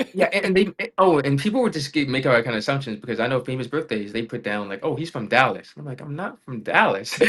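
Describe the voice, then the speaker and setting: Very fast and lively in intonation, a man speaks with an American accent at a fairly high pitch. His loudness swings widely over noticeable background noise. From Raleigh, North Carolina. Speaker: gaming YouTuber and streamer. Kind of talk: podcast interview.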